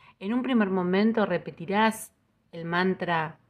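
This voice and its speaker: At a very slow pace, a woman speaks with ordinary pitch variation in a very clean recording with a silent background. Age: 50s. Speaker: podcast host, Ho'oponopono teacher. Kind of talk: spiritual talk. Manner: calm, gentle.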